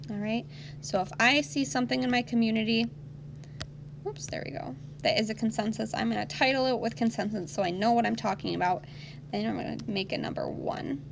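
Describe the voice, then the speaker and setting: The speaker moves at a fairly quick pace with very wide pitch swings. Noticeable background noise sits behind the voice. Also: woman, fairly low pitch for a woman. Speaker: elementary school teacher. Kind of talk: online lesson for children.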